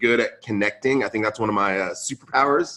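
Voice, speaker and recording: Speaking in a West Coast American accent, a man uses a medium pitch and a bright, sharp tone. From Central California, US (moved from Lebanon at 5). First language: Arabic (English second language). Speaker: podcast host and conference founder. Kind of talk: podcast interview. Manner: casual, filler-heavy.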